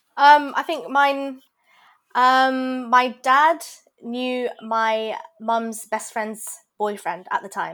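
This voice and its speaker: A woman with a London accent speaks at a high pitch and a very slow pace. The recording is very clean with a silent background. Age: 20s. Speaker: pharmacy graduate and cake business owner. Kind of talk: casual chat.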